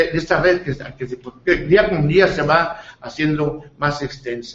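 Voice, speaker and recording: This man speaks with ordinary pitch variation. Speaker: local news show host. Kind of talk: interview; broadcast announcements. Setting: studio, live TV and radio. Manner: halting, many fillers.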